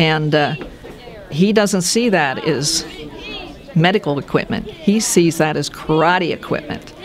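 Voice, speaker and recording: Noticeable background noise runs under this clip. A woman speaks in a fairly low pitch. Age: 70s. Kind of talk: interview answer.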